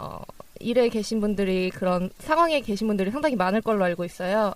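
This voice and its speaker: With ordinary pitch variation, a woman uses an unremarkable speaking voice. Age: 20s. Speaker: podcast co-host, job seeker. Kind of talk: casual chat.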